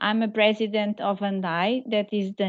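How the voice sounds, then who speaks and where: The speaker has a Portuguese accent and a fairly slow pace. The intonation stays monotone and flat. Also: woman. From Portugal. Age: 40s. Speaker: patient association president, parent. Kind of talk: webinar testimony.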